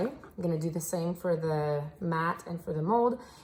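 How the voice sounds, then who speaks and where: With a French Canadian accent, a woman speaks with ordinary pitch variation. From French Canada. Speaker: soap maker. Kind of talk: tutorial. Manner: casual, with fillers.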